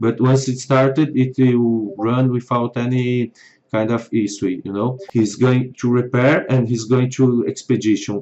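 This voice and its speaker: Using a non-native accent, a man speaks at a fairly slow pace and a medium pitch. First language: not English. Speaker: software developer. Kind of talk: tutorial.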